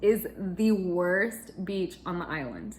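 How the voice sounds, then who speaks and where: A woman is speaking. Her pace is very slow. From Chile and US. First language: Spanish (bilingual). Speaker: cross-stitch vlogger. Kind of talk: casual chat.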